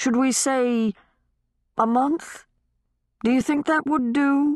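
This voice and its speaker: A high-pitched put-on character voice at a fairly slow pace. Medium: read story. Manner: measured, gentle, courteous.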